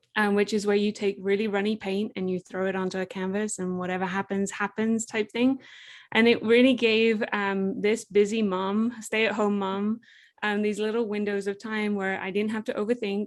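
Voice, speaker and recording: In a very clean recording with a silent background, a woman with an English accent speaks at a moderate pace in monotone, flat intonation. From England. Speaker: entrepreneur, product creator. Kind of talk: interview conversation.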